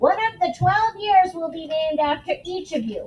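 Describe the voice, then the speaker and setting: A squeaky, put-on character voice from a woman, extremely high in pitch, with very wide pitch swings, big swings in loudness and a moderate pace. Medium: read story. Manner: formal.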